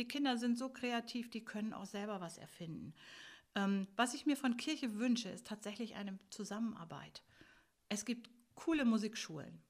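Somewhat breathy speech moves at a moderate pace with ordinary pitch variation and long, frequent pauses. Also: woman, fairly high pitch for a woman. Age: 60s. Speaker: music school teacher. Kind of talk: interview.

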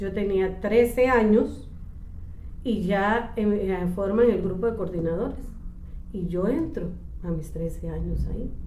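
A woman at medium pitch talks very slowly with ordinary pitch variation and long, frequent pauses. Noticeable background noise and audible room echo surround her voice. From Costa Rica, El Coyol (Alajuela). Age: 50s. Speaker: church office worker. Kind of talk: interview. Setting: church office.

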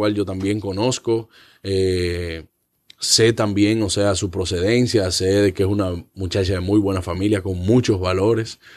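A man with a fairly low pitch talks at a moderate speed, captured on a very clean recording with a silent background. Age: 20s. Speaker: comedian and actor. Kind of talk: casual chat. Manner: halting.

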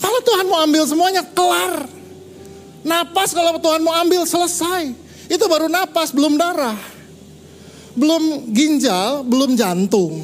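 At a fairly slow pace, a man with an extremely high pitch speaks in an animated tone with lively intonation and very even loudness, amid noticeable background noise and audible room echo. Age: 50s. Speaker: pastor. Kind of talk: sermon.

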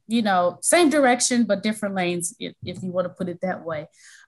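A woman's somewhat breathy voice with an American accent. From US Midwest, Milwaukee, Wisconsin. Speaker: college financial aid administrator and education consultant. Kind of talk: interview.

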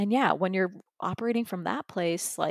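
A woman with an American accent and a plain, everyday voice, medium pitch, moderate pace, dry, close sound with no echo, very clean recording, silent background. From US, Florida, Persian heritage. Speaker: holistic wellness coach. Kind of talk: casual interview.

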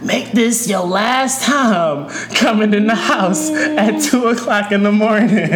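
Over loud background noise, a female-sounding voice puts on a hoarse, raspy character voice at a fairly high pitch and a fairly slow pace. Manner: scolding.

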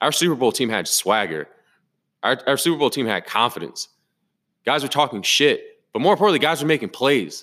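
A man speaks in a bright, sharp tone with vocal fry. He sounds furious and talks at a fairly quick pace. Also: very clean recording, silent background. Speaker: football podcast host. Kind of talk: angry post-game rant. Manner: furious, loud, profane, ranting; emphatic, repetitive, exasperated.

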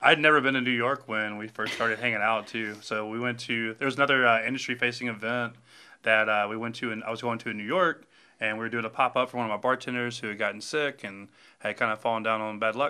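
A man speaks at a very fast pace in a Southern US accent. His tone is bright and sharp, with fairly even intonation. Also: medium pitch for a man, quiet background. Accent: US South. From Alabama. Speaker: bar owner. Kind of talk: casual chat.

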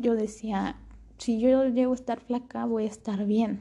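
Somewhat breathy and dark, mellow in tone, a woman speaks at a fairly slow pace with fairly high pitch and ordinary pitch variation. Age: young. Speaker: podcast host. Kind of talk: personal monologue.

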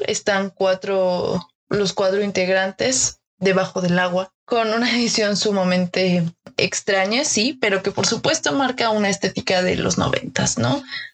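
With a Mexican accent, a woman speaks at a medium pitch with ordinary pitch variation. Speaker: design podcast host. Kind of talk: casual chat.

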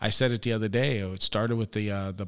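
Fairly quick in pace, a man speaks at medium pitch with ordinary pitch variation. He has an American accent. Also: very clean recording, silent background. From Ohio, US Midwest (New Philadelphia). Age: 40s. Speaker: county sheriff. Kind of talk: interview conversation. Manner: hesitant, many fillers.

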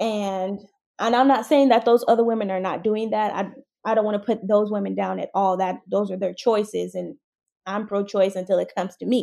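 A woman with an American accent speaks at a medium pitch and a fairly quick pace, her tone dark and mellow. Her intonation is fairly even, on a very clean recording with a silent background. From San Diego, California. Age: 20s. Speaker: content creator. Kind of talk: interview.

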